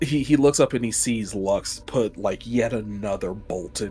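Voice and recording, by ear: Someone is reading aloud. The voice stays natural throughout.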